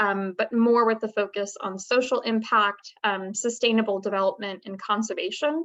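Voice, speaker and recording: Fairly even intonation marks a plain, everyday voice moving at a moderate pace. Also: woman. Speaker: research associate, alumna panelist. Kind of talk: career panel talk.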